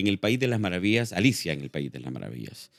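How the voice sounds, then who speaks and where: The voice has vocal fry and very wide pitch swings. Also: man. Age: 60s. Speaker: actor and filmmaker. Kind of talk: interview. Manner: halting, many fillers.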